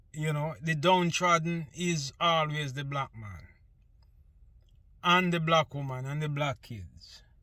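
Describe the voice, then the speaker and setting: A man with a Jamaican accent speaks very slowly, leaving long, frequent pauses. His fairly high voice has a bright, sharp tone and ordinary pitch variation. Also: big swings in loudness, very clean recording, silent background. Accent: Jamaican English with patois features. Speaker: vlogger. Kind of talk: casual monologue.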